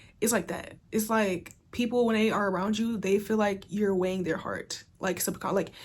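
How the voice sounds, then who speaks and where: Over a silent background in a very clean recording, a woman with a medium pitch and a somewhat breathy voice talks with hardly any pauses. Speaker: tarot reader. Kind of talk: tarot reading monologue. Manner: fast; casual, filler-heavy.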